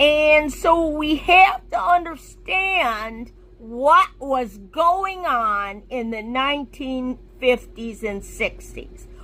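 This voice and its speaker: A raised, projected voice with an American accent, lively intonation, a very slow pace and noticeable background noise. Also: woman, high pitch for a woman. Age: 60s. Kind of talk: personal commentary video.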